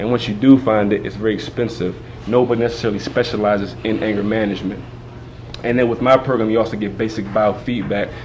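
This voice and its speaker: With noticeable background noise and audible room echo, a man talks at a fairly low pitch in monotone, flat intonation. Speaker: community program director and anger management coach. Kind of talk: interview. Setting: stage at TV show event. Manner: halting.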